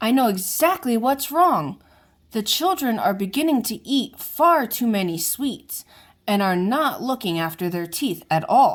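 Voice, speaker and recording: A woman's put-on character voice with very wide pitch swings, in a very clean recording with a silent background. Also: fairly high pitch for a woman, moderate pace. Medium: read story.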